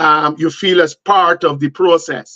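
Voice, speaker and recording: A loud, high male voice in a dry, close sound with no echo. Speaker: panelist on men's talk show. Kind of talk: panel discussion. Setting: live stream.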